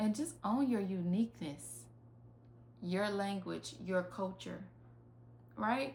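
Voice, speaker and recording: Speaking in a Southern US accent at a very slow pace, a woman keeps her loudness very even and takes long, frequent pauses. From US South, rural. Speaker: life coach. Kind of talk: online master class. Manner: casual, conversational.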